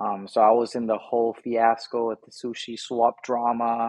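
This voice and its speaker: The man talks at a fairly slow pace with a medium pitch. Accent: American. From Indonesia. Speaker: NFT collector and family business worker. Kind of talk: podcast interview.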